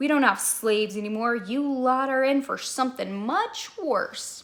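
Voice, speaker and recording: A woman puts on a gravelly, growling character voice at a high pitch. She keeps a moderate pace. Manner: menacing, mocking.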